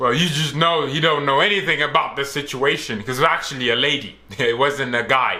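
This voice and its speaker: Loud and at a fairly quick pace with hardly any pauses, a man speaks at a fairly high pitch with ordinary pitch variation, amid audible room echo and noticeable background noise. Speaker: reaction youtuber. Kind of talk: reaction commentary. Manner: animated.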